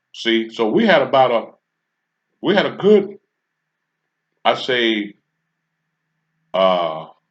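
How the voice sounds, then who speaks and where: A man speaks at a medium pitch and a very slow pace, his pitch swinging very widely, with long, frequent pauses. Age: 60s. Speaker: commentary channel host. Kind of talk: casual monologue. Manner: halting, with frequent fillers.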